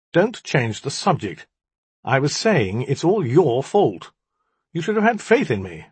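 Putting on a character voice, a man speaks at a fairly slow pace and a fairly high pitch, with very wide pitch swings and a husky, rough edge.

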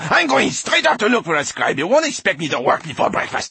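This man puts on a character voice with a high pitch, very wide pitch swings and vocal fry. His tone is bright and sharp, the pace fairly quick, and faint background noise sits underneath.

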